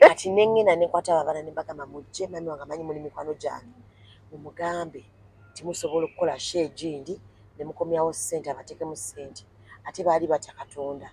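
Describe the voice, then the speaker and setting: A woman with an East African accent speaks very fast in a very deep, low pitch and a dark, mellow tone. Her pitch varies in an ordinary way while her loudness swings widely. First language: Swahili. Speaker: interviewee. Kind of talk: casual interview chat.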